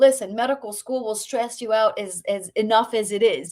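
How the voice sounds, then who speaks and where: With an unremarkable speaking voice, a woman talks at a moderate pace and fairly high pitch, her pitch varying in an ordinary way. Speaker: medical school admissions representative. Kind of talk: webinar presentation.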